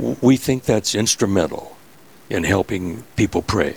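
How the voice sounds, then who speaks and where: A man with an Upper Midwest accent speaks at a fairly slow pace, his fairly low pitch showing ordinary variation. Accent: Upper Midwest American. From US Midwest, Minnesota. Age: 80s+. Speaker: rosary maker, church volunteer. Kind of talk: radio interview. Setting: host's office, live radio.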